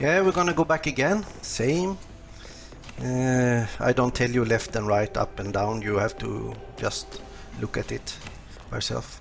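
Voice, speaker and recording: A man with a non-native accent speaks at a fairly slow pace, leaving long, frequent pauses. Noticeable background noise is present. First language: not English. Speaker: video game guide creator. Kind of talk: gameplay tutorial. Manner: halting, many fillers.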